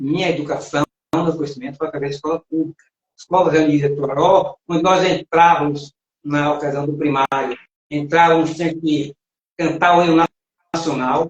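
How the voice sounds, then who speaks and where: A man with a fairly high voice speaks in a flat monotone at a moderate pace. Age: 60s. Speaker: live show co-host. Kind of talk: talk show discussion. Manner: reading aloud.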